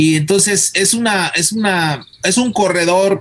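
The speaker is a man whose pitch variation is ordinary. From Mexico, Guadalajara (Jalisco). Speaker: botany professor and researcher. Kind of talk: radio interview. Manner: halting, repeats words.

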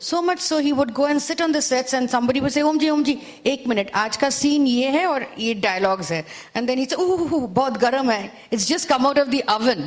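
Amid noticeable background noise, a woman talks at a very fast pace in a high pitch with lively intonation. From India, Calcutta. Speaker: author. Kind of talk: panel interview at literature festival. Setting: stage with audience.

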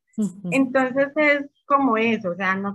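A woman speaks at a fairly high pitch in a bright, sharp tone. Her intonation is lively. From Colombia, Medellín. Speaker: small bakery business owner. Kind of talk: casual interview.

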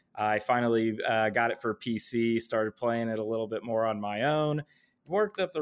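An ordinary speaking voice from a man, medium in pitch and at a fairly quick pace. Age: 30s. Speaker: gaming league co-founder. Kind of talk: casual chat.

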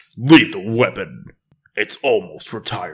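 A man's put-on character voice, growling and dramatic, medium-pitched, at a moderate pace. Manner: dramatic, gravelly.

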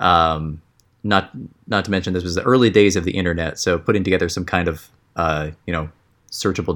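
The speaker has an American accent. The pace is fairly quick and the intonation fairly even. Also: man. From partly Egypt and US (Oregon family). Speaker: pixel artist. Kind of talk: casual chat.

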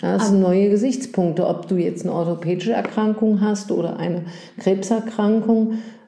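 Amid noticeable background noise and audible room echo, a woman talks at a moderate pace with a medium pitch and fairly even intonation. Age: 60s. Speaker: gynecologist. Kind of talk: casual chat. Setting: doctor's office.

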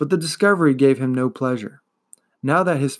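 Ordinary pitch variation in plain reading aloud, with a quiet background

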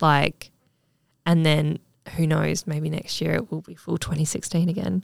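A woman's very deep, low voice with vocal fry and an Australian accent, dry and close with no echo. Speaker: lash technician and podcast host. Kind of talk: casual chat.

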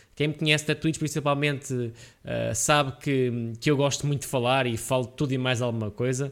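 Here a man speaks at a medium pitch and a moderate pace. His intonation is fairly even. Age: 20s. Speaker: podcast host and gaming streamer. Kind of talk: casual solo monologue. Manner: hesitant, many fillers.

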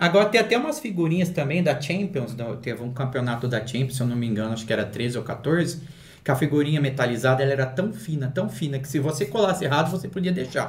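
A man with a fairly high pitch talks at a very fast pace, somewhat breathy, with lively intonation. Room echo is audible. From Valinhos, São Paulo state, Brazil. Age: 40s. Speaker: collector and YouTuber. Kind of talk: casual chat.

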